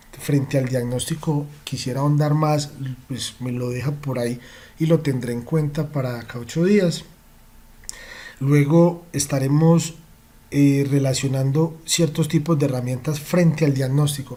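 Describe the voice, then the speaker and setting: The man's voice sits fairly high in pitch, and his intonation is fairly even. He speaks at a fairly slow pace, with audible room echo. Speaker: automotive diagnostics trainer. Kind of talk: online training lecture. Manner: passionate.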